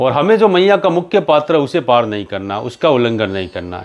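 The speaker is a man. He keeps a moderate pace. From Rajasthan, India. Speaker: pilgrim vlogger. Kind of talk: Q&A answering viewer comments. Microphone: lapel.

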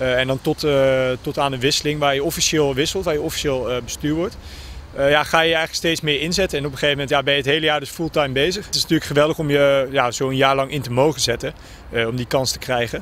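Talking at a very fast pace, a man with a fairly high pitch keeps his intonation fairly even, the sound dry with no echo over light background noise. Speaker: student rower. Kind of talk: interview. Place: waterside. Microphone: handheld.

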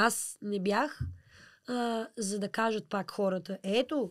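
A woman's normal speaking voice at medium pitch, on a very clean recording with a silent background. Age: 20s. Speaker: pop-folk singer. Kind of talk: interview.

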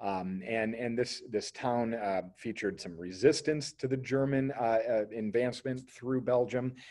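At a fairly slow pace, a man speaks with medium pitch and ordinary pitch variation. The background is quiet. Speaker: history teacher. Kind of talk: lecture. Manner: hesitant, many fillers. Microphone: webcam.

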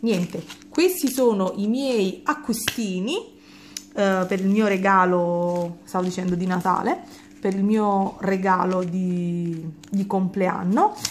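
A woman speaks at a very slow pace. Her voice is somewhat breathy, with ordinary pitch variation. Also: medium pitch for a woman. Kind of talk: product review chat. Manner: casual, with frequent hesitations.

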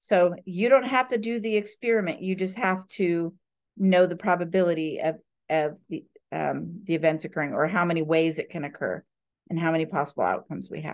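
With a quiet background, a woman speaks at a fairly quick pace in a fairly low pitch with ordinary pitch variation. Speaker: math instructor. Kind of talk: lecture. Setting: video call. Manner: animated. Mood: playful, relaxed. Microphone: video call.

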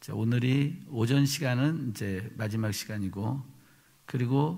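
A man speaks at a very slow pace, somewhat breathy. His pitch variation is ordinary. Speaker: pastor preaching. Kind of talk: sermon. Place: church. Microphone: podium.

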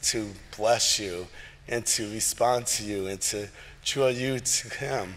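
A man talks with ordinary pitch variation. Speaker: pastor leading worship. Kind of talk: church announcements. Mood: warm, lightly humorous. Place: church.

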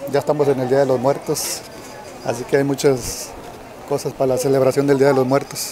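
Over noticeable background noise, a man speaks in monotone, flat intonation with very even loudness and a dry sound with no echo. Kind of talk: casual walking tour commentary. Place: market. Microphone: phone near.

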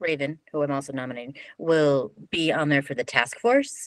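A woman's very deep, low voice with lively intonation at a moderate pace, dry sound with no echo, and a quiet background. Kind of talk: meeting discussion. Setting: video call. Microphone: video call.

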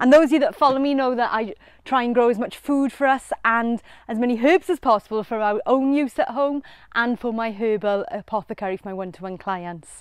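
A woman with a high pitch and lively intonation is heard in a dry sound with no echo against a quiet background. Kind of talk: casual gardening vlog chat. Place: garden.

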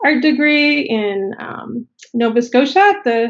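A woman's voice, with ordinary pitch variation, is heard against a quiet background. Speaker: remote podcast guest. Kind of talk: interview answer. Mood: friendly, reminiscing. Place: home room. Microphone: video call.

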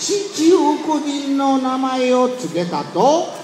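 Noticeable background noise behind a man with a Tosa accent, very slow pace. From Kochi, Japan. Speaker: storyteller. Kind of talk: kamishibai picture-story performance. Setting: outdoors, street.

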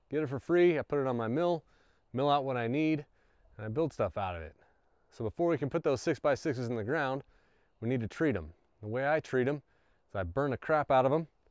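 A man talking at a very fast pace, lively in intonation, with a dry sound, no echo and a quiet background. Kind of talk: casual tutorial. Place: open country.

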